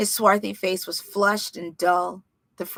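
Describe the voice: The background stays quiet. Someone does plain reading aloud, keeping the intonation fairly even.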